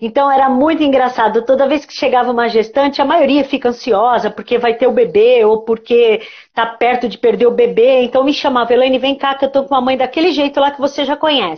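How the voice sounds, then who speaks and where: Fairly quick and with hardly any pauses, a woman speaks at a high pitch with fairly even intonation. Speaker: psychologist. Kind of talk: casual interview on a live stream. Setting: online live stream. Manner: fast.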